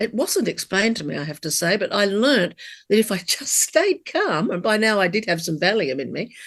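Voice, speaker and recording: Speaking with an Australian accent at a moderate pace, a woman with a fairly high pitch swings her pitch very widely against a quiet background. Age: 60s. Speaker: cancer survivor. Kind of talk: interview.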